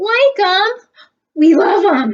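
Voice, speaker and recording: A woman does a put-on character voice that is squeaky and extremely high-pitched. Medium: read story.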